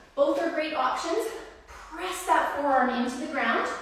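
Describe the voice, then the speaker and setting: Fairly slow speech under strong room echo, with light background noise. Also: woman. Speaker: personal trainer. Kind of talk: live-streamed workout instruction, counting reps and cueing form in real time. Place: gym. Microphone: camera far.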